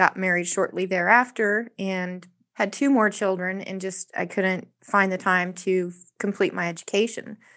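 A woman with an unremarkable speaking voice talks at a medium pitch and moderate pace, her intonation fairly even in a very clean recording with a silent background. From South Texas. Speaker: restaurant server and labor organizer. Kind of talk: radio interview.

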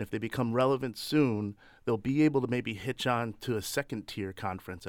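On a very clean recording with a silent background, a man with an American accent speaks at a fairly quick pace in an unremarkable speaking voice, his pitch varying in an ordinary way. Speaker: political strategist. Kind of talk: radio panel discussion. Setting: studio.

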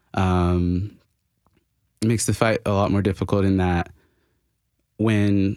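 This man has a normal speaking voice with a fairly low pitch and an American accent. The recording is very clean, with a silent background. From Florida. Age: 20s. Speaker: labor organizer and barista. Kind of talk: radio interview.

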